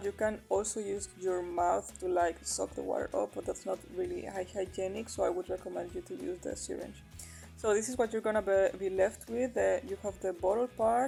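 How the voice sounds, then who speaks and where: A woman with a non-native accent at a moderate pace, music in the background. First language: not English. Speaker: aquarium hobbyist. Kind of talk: DIY tutorial voice-over. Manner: casual, hesitant with fillers.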